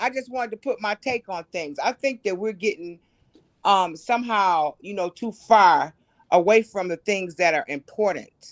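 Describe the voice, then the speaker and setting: Against a quiet background, a woman with an ordinary speaking voice talks at a moderate pace and medium pitch with lively intonation, in a dry, close sound with no echo. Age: 60s. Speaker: caller. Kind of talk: call-in livestream commentary.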